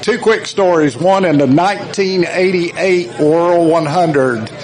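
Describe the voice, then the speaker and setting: A man with a South Carolina accent speaks at a fairly high pitch with ordinary pitch variation. Audible room echo and noticeable background noise fill the recording. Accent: Southern US (South Carolina). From US South. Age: 60s. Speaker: former racing team member. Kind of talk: tribute speech.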